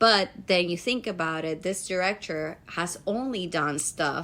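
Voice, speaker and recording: In a very clean recording with a silent background, a woman with a Spanish accent speaks at a fairly slow pace. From Dominican Republic. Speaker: podcast co-host, actor. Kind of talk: casual chat.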